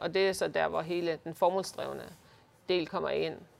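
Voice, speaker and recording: Speaking at a moderate pace, a woman's voice carries vocal fry. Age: 50s. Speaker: leadership consultant. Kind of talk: interview. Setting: office by the harbour.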